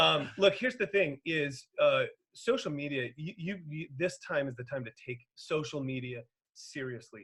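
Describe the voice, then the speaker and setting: A man's animated voice, fairly high in pitch, with lively intonation and big swings in loudness. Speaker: enrollment and sales consultant. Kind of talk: webinar presentation. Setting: online webinar. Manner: fast.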